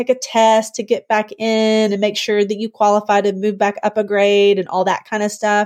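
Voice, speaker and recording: In a very clean recording with a silent background, a woman speaks in an ordinary speaking voice. Her pitch is fairly high and her pace moderate. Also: dry, close sound with no echo. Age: 40s. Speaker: homeschooling mother of seven. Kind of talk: podcast interview. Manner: casual, conversational.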